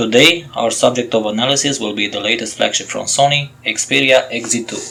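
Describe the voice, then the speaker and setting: Music plays in the background. The speaker talks at a moderate pace with a non-native accent and fairly even intonation. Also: man. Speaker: tech reviewer. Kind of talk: tech review voice-over. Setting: low-quality home microphone.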